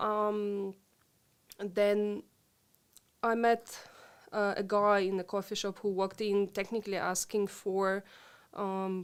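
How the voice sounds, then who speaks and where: A woman speaks with a Ukrainian accent at a very slow pace, leaving long, frequent pauses. Her intonation stays monotone and flat, on a very clean recording with a silent background. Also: medium pitch for a woman. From Ukraine (Lviv). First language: Ukrainian/Russian. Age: 40s. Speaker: interview guest, expat. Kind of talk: interview conversation. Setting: live stream recording. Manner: hesitant, many fillers.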